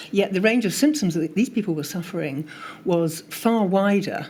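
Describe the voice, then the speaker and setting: Speaking in a normal speaking voice, a woman uses lively intonation at a medium pitch and a moderate pace. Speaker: witness at public inquiry, long covid patient advocate. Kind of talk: testimony. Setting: public inquiry hearing.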